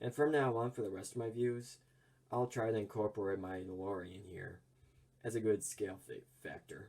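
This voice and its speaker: Somewhat breathy and fairly low, the man's voice moves at a fairly quick pace with ordinary pitch variation. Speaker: toy reviewer. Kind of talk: product review. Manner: casual, with fillers.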